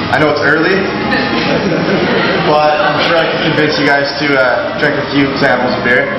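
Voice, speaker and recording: A man's voice carries audible room echo over loud music in the background. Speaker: brewery tour guide. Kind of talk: tour guide talk to a group. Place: factory. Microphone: camera far.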